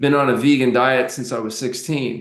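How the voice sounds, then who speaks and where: A man speaking at a very fast pace. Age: 60s. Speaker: doctor, fasting expert. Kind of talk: podcast interview.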